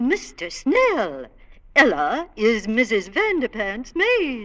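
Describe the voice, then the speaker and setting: Speaking in a put-on character voice, a female-sounding speaker uses a high pitch and a very slow pace. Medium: old radio play. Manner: snobbish.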